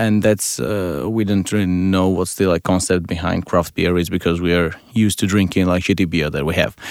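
At a fairly quick pace and with fairly even intonation, the voice comes through on a very clean recording with a silent background. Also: man, very deep, low pitch for a man, hardly any pauses. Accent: Georgian. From Georgia. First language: Georgian. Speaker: advertising creative. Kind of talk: casual chat. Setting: studio.

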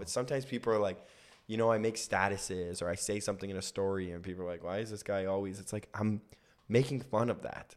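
A man with a Canadian accent talks very fast, with a fairly low pitch and fairly even intonation. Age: 30s. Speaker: comedian. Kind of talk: casual chat.

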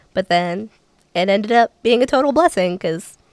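A woman's fairly high voice with an American accent, very wide pitch swings and a fairly quick pace, dry and close with no echo. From Ohio (Cincinnati). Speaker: country singer and performer. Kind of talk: casual chat.

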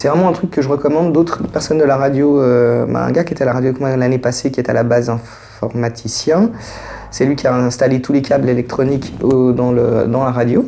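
Amid noticeable background noise, a man talks fairly quickly at a medium pitch with fairly even intonation. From Geneva, Switzerland. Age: 40s. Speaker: social assistance recipient. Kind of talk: casual conversation. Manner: hesitant, with fillers.

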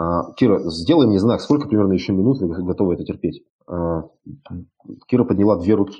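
A man's fairly low voice moves at a fairly quick pace, his intonation lively. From Siberia, Russia (Krasnoyarsk). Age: 30s. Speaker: entrepreneur and networking speaker. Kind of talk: online lecture. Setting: live stream broadcast. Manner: casual, with many fillers.

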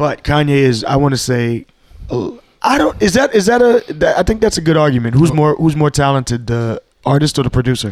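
Talking at a fairly quick pace, a man with a fairly high pitch swings his pitch very widely while keeping his loudness very even. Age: 30s. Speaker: podcast co-host. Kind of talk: casual chat.

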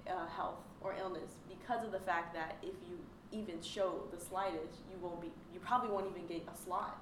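A woman with an American accent speaks at a moderate pace, with a medium pitch and ordinary pitch variation. Audible room echo and noticeable background noise fill the recording. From Dallas, Texas. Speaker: student, Air Force ROTC cadet. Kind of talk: casual chat.

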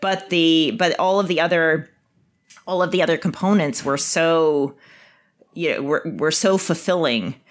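Fairly slow speech with ordinary pitch variation and a slight Canadian accent. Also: woman, fairly low pitch for a woman. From Canada, Winnipeg. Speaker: biotech executive. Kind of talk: interview.

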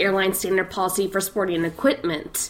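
Moderate pace over noticeable background noise. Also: woman. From Scotland. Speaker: podcast co-host. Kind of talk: casual chat.

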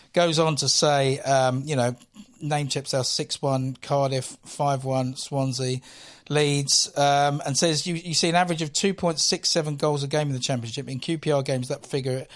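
Using a plain, everyday voice, a man speaks at a moderate pace with fairly even intonation on a very clean recording with a silent background. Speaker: guest football fan. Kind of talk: casual chat.

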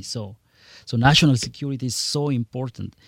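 Recorded very cleanly in a silent background, a man with a Spanish accent speaks at a moderate pace, the sound dry and close with no echo. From Guatemala. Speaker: congressional candidate. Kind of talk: radio interview. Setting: studio.

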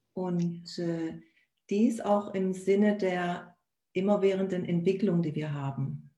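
Somewhat breathy, a woman at a medium pitch speaks very slowly with fairly even intonation amid audible room echo. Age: 40s. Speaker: virtual assistant and life coach. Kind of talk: casual live-stream conversation. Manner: halting, many fillers.

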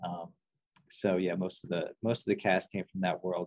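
A man is talking. His intonation is fairly even. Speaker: guest, horror film fan, academic advisor. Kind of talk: casual chat.

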